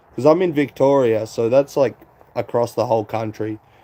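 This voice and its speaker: A man speaks in an Australian accent. His tone is dark and mellow, his intonation fairly even. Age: 20s. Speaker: live streamer. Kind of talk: casual chat. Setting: live stream. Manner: rambling.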